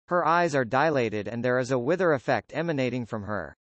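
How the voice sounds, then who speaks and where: A growling man at a medium pitch, very fast, with lively intonation. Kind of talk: script narration. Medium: audio drama.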